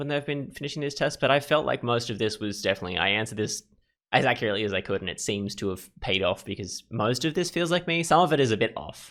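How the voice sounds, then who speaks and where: The delivery is very fast with lively intonation. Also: man. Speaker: gaming YouTuber. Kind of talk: casual commentary on a personality quiz. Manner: halting, with repeated words.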